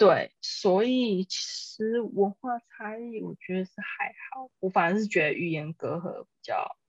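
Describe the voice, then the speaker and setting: An ordinary speaking voice at a fairly slow pace, with lively intonation, big swings in loudness, hardly any pauses and a dry, close sound with no echo. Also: woman, fairly high pitch for a woman. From Taiwan. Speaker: guest. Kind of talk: casual chat.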